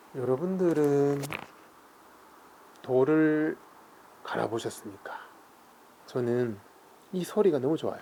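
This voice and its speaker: A man speaks in a calm tone at a very slow pace, with long, frequent pauses and a fairly high pitch. His pitch varies in an ordinary way, and there is noticeable background noise. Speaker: seal carving and calligraphy artist. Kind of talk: casual talk-through of his craft while working, explaining terms. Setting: quiet workshop, close recording with stone grinding sounds. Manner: calm, soft-spoken, reflective.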